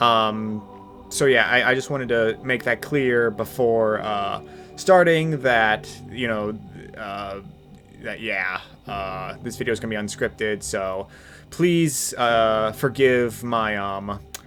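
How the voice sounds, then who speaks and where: Music plays in the background as a man speaks at a very slow pace. His pitch is medium, with ordinary variation. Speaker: YouTube video game commentator. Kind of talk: unscripted rant. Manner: halting, many fillers and repeats.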